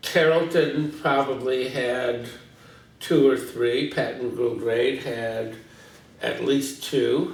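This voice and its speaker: A man talks with an American accent amid noticeable background noise. Audible room echo surrounds his voice. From US Midwest, St. Louis, Missouri. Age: 60s. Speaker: retired teacher, longtime resident. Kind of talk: oral history interview. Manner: hesitant, many fillers.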